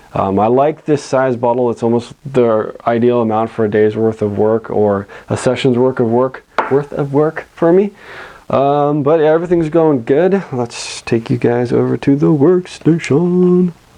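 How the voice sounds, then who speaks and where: There is noticeable background noise behind this man. He speaks at a fairly slow pace with a medium pitch. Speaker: scale model builder. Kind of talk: tutorial. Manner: casual, with fillers.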